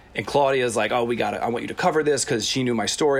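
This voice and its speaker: Over noticeable background noise, a man with an American accent talks at a very fast pace with ordinary pitch variation. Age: 30s. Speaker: recovering addict sharing his story. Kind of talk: casual interview, personal testimony.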